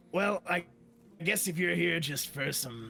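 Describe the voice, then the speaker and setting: Over clear background music, a man puts on a character voice that is raspy and high-pitched. He moves at a moderate pace with lively intonation. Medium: actual play. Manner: jokey, casual.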